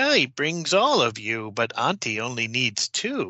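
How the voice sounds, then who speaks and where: This put-on character voice moves at a moderate pace. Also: man. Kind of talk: sinister fairy-tale villain. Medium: actual play. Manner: mocking, sing-song, sly.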